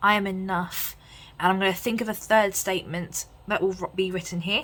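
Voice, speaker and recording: Speaking with an English accent, a woman talks at a fairly quick pace in a medium pitch. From England. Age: 20s. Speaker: lifestyle vlogger and psychology student. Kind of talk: chatty planner tutorial vlog. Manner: casual, lots of fillers.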